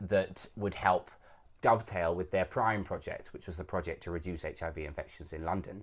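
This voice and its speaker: A man with a British accent speaks at a fairly quick pace in a very deep, low pitch, somewhat breathy. The recording is very clean, with a silent background. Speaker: actor. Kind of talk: podcast interview. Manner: conversational, hedging.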